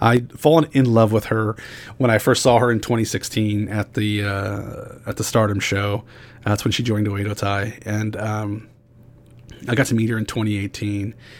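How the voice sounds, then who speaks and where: At a moderate pace, a man delivers his words in a fairly low, monotone voice with flat intonation. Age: 40s. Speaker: podcast host. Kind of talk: solo podcast monologue. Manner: frequent fillers and repetitions.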